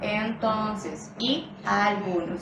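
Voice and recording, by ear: A put-on character voice, sing-song in delivery, comes through with audible echo. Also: female-sounding voice, medium pitch for a woman.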